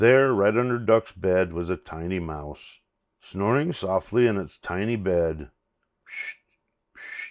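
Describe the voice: A quiet background sits behind plain reading aloud.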